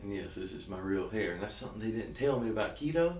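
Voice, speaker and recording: A man talks at a very fast pace in a Southern US accent, his intonation lively. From South Georgia, US. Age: 30s. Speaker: keto diet vlogger. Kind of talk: casual talk to camera. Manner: energetic, joking.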